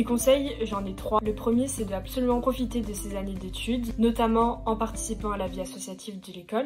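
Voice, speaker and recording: A woman's fairly high-pitched voice with fairly even intonation, over noticeable background noise. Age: 20s. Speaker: engineering student. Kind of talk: testimony. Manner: hesitant with fillers.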